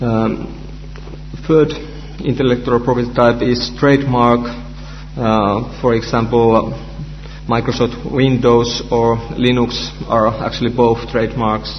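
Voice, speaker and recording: A man with a Finnish accent speaks at a fairly slow pace in a monotone, flat intonation, with very even loudness and long, frequent pauses, over noticeable background noise and audible room echo. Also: medium pitch for a man. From Finland. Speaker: researcher and conference speaker. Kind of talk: conference talk. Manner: halting, many fillers.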